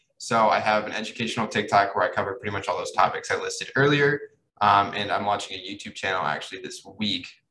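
A man talks at a very fast pace. He has a Midwestern US accent. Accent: US Midwest. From Kansas City, Missouri. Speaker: marketer and social media influencer. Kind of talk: casual interview chat.

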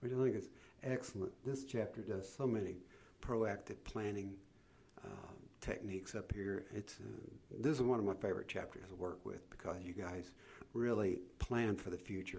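With long, frequent pauses, a somewhat breathy man speaks at a fairly low pitch and ordinary pitch variation. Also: moderate pace. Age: 70s. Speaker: leadership coach. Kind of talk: interview.

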